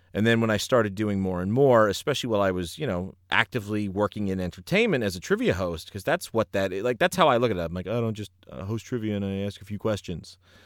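Very fast, nearly pauseless speech from a man with a fairly low pitch and ordinary pitch variation, on a very clean recording with a silent background. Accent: New York. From New Jersey, US. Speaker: ring announcer and former professor. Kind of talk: casual interview.

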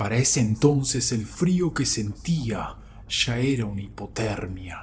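Very slow pace from a man with lively intonation. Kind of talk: scary story telling, first-person account of a wolf sighting. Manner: slow, tense, hushed suspense with emphatic repetition; earnest, insistent, building dread.

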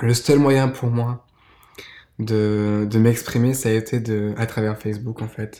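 Soft-spoken and fairly slow, a man talks in a dark, mellow tone. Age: 20s. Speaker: podcast guest. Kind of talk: testimony. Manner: halting.

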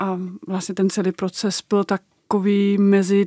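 A woman with a Danish accent speaks at a fairly slow pace in a medium pitch, her tone dark and mellow, on a very clean recording with a silent background and a dry, close sound with no echo. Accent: Danish accent in Czech. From Denmark. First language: Danish (speaking Czech). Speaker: documentary maker. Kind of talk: interview.

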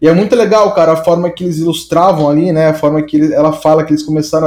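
Music plays in the background. A man is speaking. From São Paulo state, Brazil (Santo André). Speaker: designer. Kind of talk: casual interview chat.

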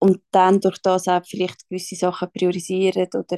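A woman's dark, mellow voice at a fairly slow pace, with a dry, close sound and no echo. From Switzerland. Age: 20s. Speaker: social worker and small business founder. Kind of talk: casual chat.

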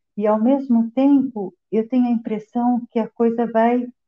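At a fairly slow pace, a woman speaks in a normal speaking voice with fairly even intonation. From Brazil. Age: 50s. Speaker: interview guest, migrant. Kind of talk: interview.

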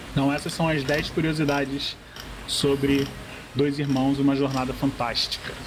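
Amid noticeable background noise, a man speaks at a moderate pace and fairly high pitch in a monotone, flat intonation. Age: 40s. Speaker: graphic designer and film blogger. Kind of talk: reading aloud; casual chat.

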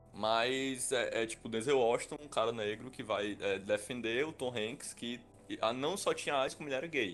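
A man at a medium pitch and moderate pace, with ordinary pitch variation and music in the background. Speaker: podcast co-host. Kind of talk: casual chat.

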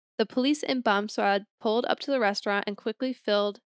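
A woman speaks in a plain, everyday voice at medium pitch with ordinary pitch variation, recorded with a dry, close sound with no echo. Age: 20s. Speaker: podcast co-host. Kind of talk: casual chat.

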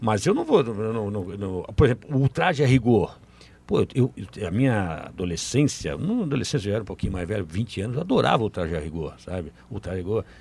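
A man's fairly low, somewhat breathy voice at a fairly quick pace, with lively intonation. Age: 50s. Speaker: sports journalist. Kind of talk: casual chat.

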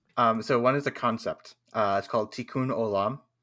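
On a very clean recording with a silent background, a man of medium pitch speaks at a fairly slow pace with fairly even intonation. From California. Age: 20s. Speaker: tabletop game streamer. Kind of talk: casual chat.

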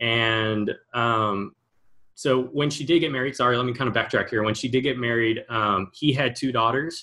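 A man's plain, everyday voice, at medium pitch and a moderate pace, with fairly even intonation. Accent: American. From Texas, Houston area. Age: 20s. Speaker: gaming startup founder. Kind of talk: interview.

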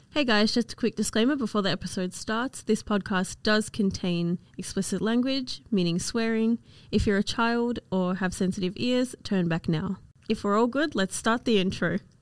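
A woman speaks at a moderate pace with a fairly high pitch and ordinary pitch variation. Her loudness stays very even, and the sound is dry and close with no echo. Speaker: podcast co-host and university student. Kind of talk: casual chat.

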